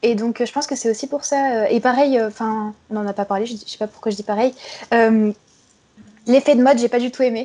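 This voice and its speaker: A woman's fairly high voice with a dark, mellow tone, fairly quick pace and fairly even intonation. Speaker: university student, listener guest. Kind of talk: casual chat. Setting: Skype call. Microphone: poor Skype recording audio.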